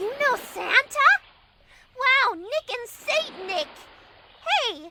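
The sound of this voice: A female-sounding voice puts on a character at an extremely high pitch and a very slow pace.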